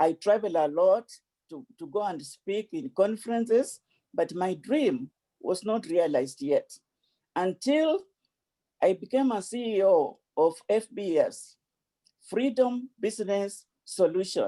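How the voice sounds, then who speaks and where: The speaker, with an African accent, moves at a fairly slow pace with long, frequent pauses. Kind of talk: speech. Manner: repetitive stammering.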